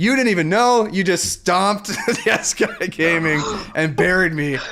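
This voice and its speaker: Over music in the background, a raised, projected voice with a North American accent moves at a moderate pace, keeping very even loudness and ordinary pitch variation. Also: man, high pitch for a man. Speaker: volleyball talk show co-host. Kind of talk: casual chat.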